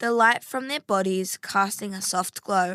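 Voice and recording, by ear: The reading is done aloud in a natural voice, and the intonation stays fairly even.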